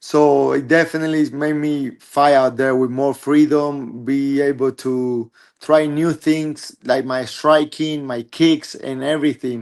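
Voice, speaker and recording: Over a quiet background, a man with a Spanish accent speaks fairly slowly in a fairly high pitch, his intonation monotone and flat. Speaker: MMA fighter. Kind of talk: interview. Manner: halting.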